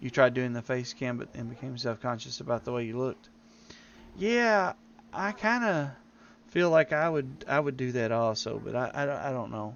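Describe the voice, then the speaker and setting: A man speaks with a strong Southern US accent at a medium pitch. His pace is moderate and his intonation lively. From Tennessee, US South. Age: old. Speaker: game streamer. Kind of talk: live gameplay stream chat. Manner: halting.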